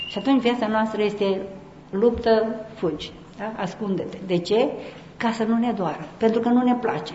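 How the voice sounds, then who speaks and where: Against noticeable background noise and audible room echo, a woman speaks at a fairly high pitch and moderate pace with ordinary pitch variation. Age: old. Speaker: Orthodox nun and speaker. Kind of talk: conference talk.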